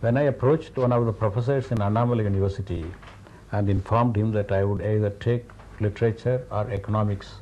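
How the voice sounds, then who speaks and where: With a Tamil accent, a man talks very fast in a dark, mellow, somewhat breathy voice, his pitch fairly low, his intonation fairly even and his loudness very even. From India, Tamil Nadu. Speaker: scientist and writer. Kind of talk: interview.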